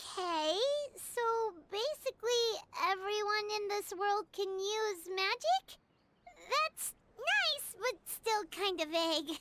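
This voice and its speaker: Squeaky and extremely high, the put-on character voice goes at a fairly slow pace with long, frequent pauses. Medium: fan dub. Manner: chatty, frank.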